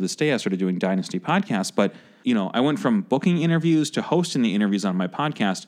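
Speech races along at a very fast pace with hardly any pauses. The intonation is lively, with an American accent. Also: man. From Chicago. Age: 30s. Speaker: podcast host. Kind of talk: casual interview chat. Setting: studio.

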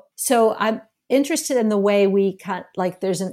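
At a moderate pace, a woman speaks in a very clean recording with a silent background. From US South, Memphis. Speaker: filmmaker. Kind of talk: interview. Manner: halting, many restarts.

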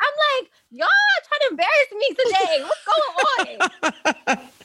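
A woman talks in a raised, projected voice with an animated tone and very wide pitch swings. The sound is dry and close with no echo, though background noise is noticeable. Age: 20s. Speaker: young adult church member, pastor's kid. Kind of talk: casual chat.

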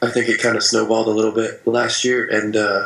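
A man with an American accent, fairly quick and monotone, flat in intonation, over noticeable background noise. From Vermont, US. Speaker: baseball player. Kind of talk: interview.

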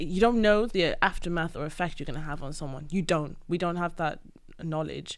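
A woman with a Welsh accent, at a fairly quick pace, with ordinary pitch variation. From Wales. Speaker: friend of the host. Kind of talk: casual chat.

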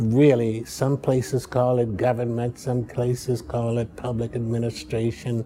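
At a fairly unhurried pace, a speaker with an American accent talks while clear background noise carries on. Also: man. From Chicago, US Midwest. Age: 80s. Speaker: professor emeritus, political scientist. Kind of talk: interview about his life and career. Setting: interview at a university. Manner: reflective, halting, with hesitations.

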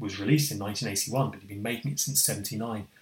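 With lively intonation, a man speaks at a moderate pace in an ordinary speaking voice. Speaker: foundation trustee and co-host. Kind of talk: casual chat.

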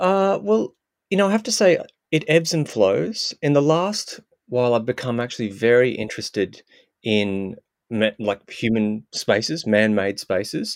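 With an Australian accent, a man speaks at a medium pitch and moderate pace. His pitch swings very widely. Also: dry, close sound with no echo. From Australia, Queensland. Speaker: sound artist. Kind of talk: interview. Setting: remote call.

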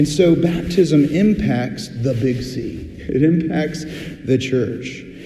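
Over noticeable background noise, a man with a fairly high pitch talks at a very slow pace with hardly any pauses and ordinary pitch variation. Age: 40s. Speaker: pastor. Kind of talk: sermon. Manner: conversational, with filler words.

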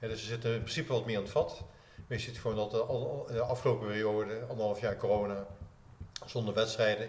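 A man at medium pitch, fairly quick and monotone with flat intonation, amid audible room echo. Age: 60s. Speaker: running coach and author. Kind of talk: casual chat. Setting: clubhouse.

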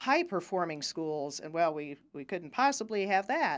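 A woman with an American accent has a plain, everyday voice, a fairly low pitch and a moderate pace, in a very clean recording with a silent background. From Ohio. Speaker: lawyer. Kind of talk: casual interview.

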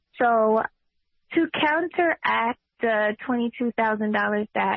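The speaker is a woman with a New York accent. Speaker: political candidate and nurse. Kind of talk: interview.

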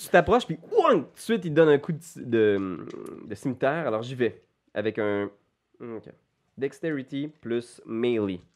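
Fairly slow speech from a man at medium pitch, with lively intonation, big swings in loudness, and long, frequent pauses. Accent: Quebec. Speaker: game master of a role-playing game. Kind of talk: role-playing game narration. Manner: animated.

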